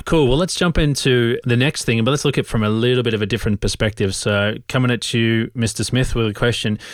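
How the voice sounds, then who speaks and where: Speaking very fast with an Australian accent, a man holds a very even loudness at a medium pitch with ordinary pitch variation. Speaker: podcast co-host, creative professional. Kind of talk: casual chat. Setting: remote call.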